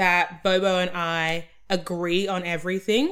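This woman has an Australian accent. Her voice comes across bright and sharp. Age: 20s. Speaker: podcast co-host. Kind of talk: casual chat.

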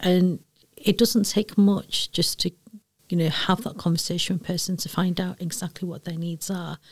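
In a Manchester accent, a somewhat breathy woman speaks at a moderate pace in a medium pitch with fairly even intonation. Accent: Mancunian, broad. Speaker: EDI director at a university. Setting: lounge, in person.

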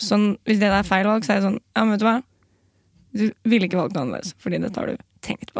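A woman talks at a very fast pace. Her medium pitch varies in an ordinary way. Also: dry, close sound with no echo. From Oslo, Norway. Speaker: comedian and journalist. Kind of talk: casual chat.

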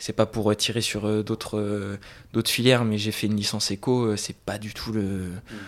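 The speaker talks at a fairly slow pace with monotone, flat intonation. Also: man, fairly low pitch for a man. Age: 20s. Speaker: business student. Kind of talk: casual chat.

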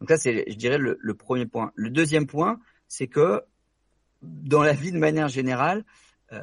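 Here a man with an ordinary speaking voice and fairly high pitch talks at a moderate pace with lively intonation, recorded dry and close with no echo. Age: 20s. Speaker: doctor and real estate investor. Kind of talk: interview.

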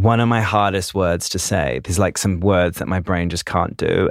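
In a New Zealand accent, a man speaks with a very deep, low pitch. The sound is dry and close with no echo, and the recording is very clean over a silent background. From New Zealand, Christchurch. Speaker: dancer and choreographer. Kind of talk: casual interview chat. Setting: studio.

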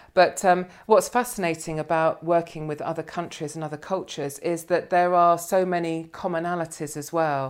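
In a very clean recording with a silent background, a woman with a plain, everyday voice speaks at a moderate pace and fairly low pitch, her intonation fairly even but her loudness taking big swings. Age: 50s. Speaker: financial planner. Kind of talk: casual chat. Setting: office.

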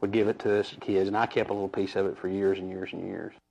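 A man with a Texan accent, fairly low in pitch, at a very fast pace. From North Texas, Wise County. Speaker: local resident. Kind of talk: interview testimony.

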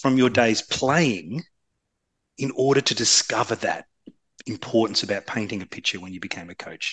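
A man's voice with vocal fry. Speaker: podcast host. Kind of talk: interview.

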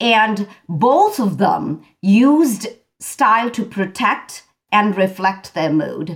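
At a very slow pace, a woman speaks in a fairly high, somewhat breathy voice with lively intonation. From India. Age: 50s. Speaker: fashion stylist. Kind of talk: interview. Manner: animated.

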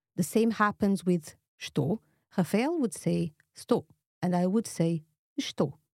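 The speech is very slow with lively intonation and very even loudness, in a dry, close sound with no echo. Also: woman, medium pitch for a woman. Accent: Portuguese. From Portugal, Lisbon. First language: Portuguese. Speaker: language teacher. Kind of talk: tutorial.

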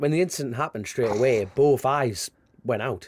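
A man with a strong Geordie accent, fairly high pitch, lively intonation and a moderate pace. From northern England, Newcastle area. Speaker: motorcycle road racer. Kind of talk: casual interview chat.

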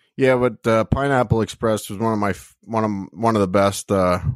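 A normal speaking voice at a moderate pace, with fairly even intonation. The recording is very clean, with a silent background. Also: man. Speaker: podcast co-host. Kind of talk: casual chat.

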